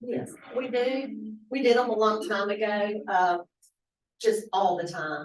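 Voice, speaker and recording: This woman talks at a medium pitch. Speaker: county HR staff member. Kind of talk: public meeting report. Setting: county commission meeting room. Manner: loud. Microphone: no microphone.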